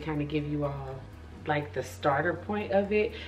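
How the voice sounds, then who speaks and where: In a room with audible echo, a woman speaks at a moderate pace with a very deep, low pitch. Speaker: beauty vlogger. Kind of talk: tutorial. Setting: at home. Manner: soft-spoken; animated.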